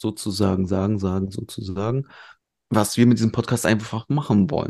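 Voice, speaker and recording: With a dark, mellow tone, a man speaks at a fairly low pitch with ordinary pitch variation. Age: 30s. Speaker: podcast co-host. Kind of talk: casual chat.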